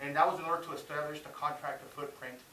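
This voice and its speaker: Very fast pace and fairly even intonation, with audible room echo. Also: man. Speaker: army non-commissioned officer and student. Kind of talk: class speech presentation. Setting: speech class with audience. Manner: frequent filler hesitations.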